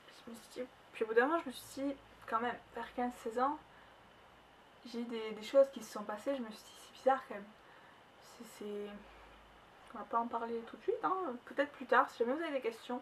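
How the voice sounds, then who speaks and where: A woman with a slight southern French accent and a high pitch talks at a fairly quick pace, with big swings in loudness and long, frequent pauses. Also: ordinary pitch variation. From southern France. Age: 20s. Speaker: vlogger. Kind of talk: personal vlog testimony. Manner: fast.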